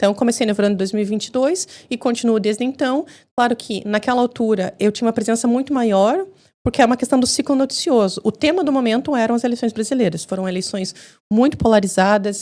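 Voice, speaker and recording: In a very clean recording with a silent background, a woman with a Brazilian accent and a dark, mellow tone speaks at a very fast pace. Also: fairly high pitch for a woman, ordinary pitch variation. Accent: Brazilian Portuguese, kept. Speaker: journalist and TV commentator. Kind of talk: podcast interview.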